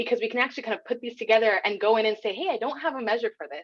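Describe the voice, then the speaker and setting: Her voice is fairly high-pitched for a woman. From California, US. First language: Spanish. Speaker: speech language pathologist researcher. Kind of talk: webinar panel discussion. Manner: halting, many fillers and repeats.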